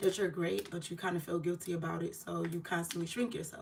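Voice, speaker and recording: Clear background noise accompanies a woman who talks rather quickly. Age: 30s. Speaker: podcast host. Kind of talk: casual livestream chat. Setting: YouTube livestream. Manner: casual, unpolished, with many fillers.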